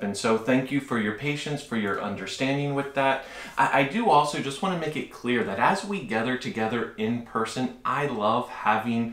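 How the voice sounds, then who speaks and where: A man at a moderate pace with ordinary pitch variation and audible room echo. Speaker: preacher. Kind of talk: sermon announcements to congregation. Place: home room.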